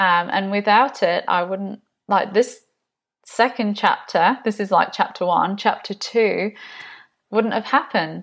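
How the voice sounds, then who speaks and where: A woman speaks in an English accent over a quiet background. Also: medium pitch for a woman, ordinary pitch variation, fairly slow pace. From England, Nottinghamshire. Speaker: podcast host, business community founder. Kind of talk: personal testimony. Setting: home video recording.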